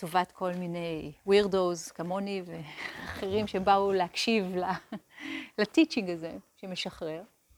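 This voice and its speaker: Ordinary pitch variation in a woman's very slow, medium-pitched speech. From Israel, Hadera. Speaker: meditation teacher. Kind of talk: lecture.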